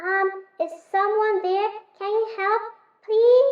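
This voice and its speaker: A woman uses a put-on character voice, squeaky and extremely high in pitch. She goes very slowly with fairly even intonation and slight echo. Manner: pleading for help.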